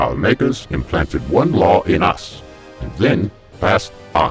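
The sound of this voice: Slowly and with big pitch swings, a man puts on a character voice at a low pitch, with faint music in the background.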